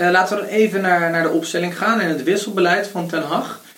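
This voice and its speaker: High-pitched and fairly quick, a man is talking. His intonation stays fairly even. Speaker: podcast host. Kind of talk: casual chat.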